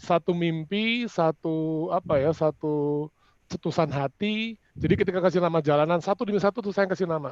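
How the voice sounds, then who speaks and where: Recorded with a dry, close sound free of echo and a quiet background, a man with a high voice talks at a fairly quick pace with ordinary pitch variation. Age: 60s. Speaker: property developer executive. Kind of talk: panel discussion closing statement. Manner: halting, with fillers.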